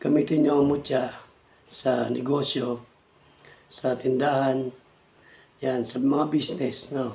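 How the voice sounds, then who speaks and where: A man speaks very slowly at a medium pitch, leaving long, frequent pauses. His intonation is monotone and flat. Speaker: vlogger, amulet hunter. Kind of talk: casual vlog talk. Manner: halting.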